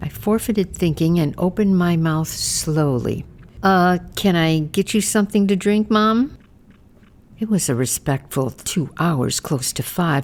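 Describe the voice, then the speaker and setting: A plain, everyday voice carries lively intonation at a moderate pace. The recording is very clean, with a silent background. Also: woman. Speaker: memoir narrator, caregiver. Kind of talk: podcast memoir narration.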